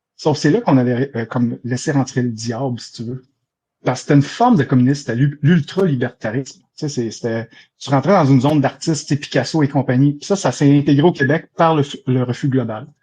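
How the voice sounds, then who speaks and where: Against a quiet background, a man with a Quebec accent talks at a fairly quick pace and fairly high pitch, somewhat breathy with a dark, mellow tone, ordinary pitch variation and big swings in loudness. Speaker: debate participant. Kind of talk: live debate.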